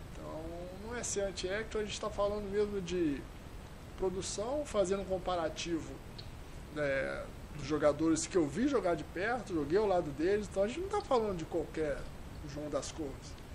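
Pausing long and often, a man with a high voice talks at a moderate pace with ordinary pitch variation, and the room echo is audible. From Juiz de Fora, Minas Gerais, Brazil. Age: 50s. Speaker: former footballer, goalkeeper, football executive. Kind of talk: podcast interview.

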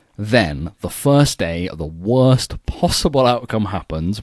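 Lively intonation comes from a man with a British accent at moderate pace. The recording is very clean, with a silent background. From United Kingdom. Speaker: swimming podcast host. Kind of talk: casual chat.

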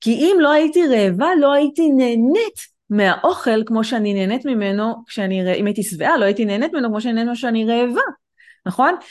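Lively intonation runs through the speech. It is a normal speaking voice. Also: woman, fairly high pitch for a woman, fairly quick pace, quiet background. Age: 40s. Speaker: author and life coach. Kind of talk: interview on a live-streamed podcast.

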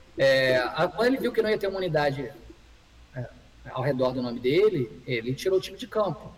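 There is noticeable background noise behind a man's voice. He speaks at a fairly high pitch and a fairly quick pace. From Rio de Janeiro, Brazil. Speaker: comedy screenwriter. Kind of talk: casual chat. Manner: halting.

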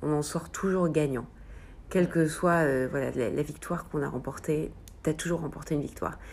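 A woman talking at a very fast pace. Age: 30s. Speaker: amateur runner. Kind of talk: interview. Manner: hesitant, many fillers.

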